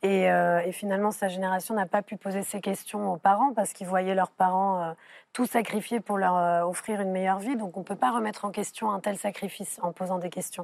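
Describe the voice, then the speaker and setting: A normal speaking voice goes rather quickly with fairly level intonation on a very clean recording against a silent background. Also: woman, medium pitch for a woman. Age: young. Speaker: filmmaker. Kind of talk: TV panel discussion. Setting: TV studio.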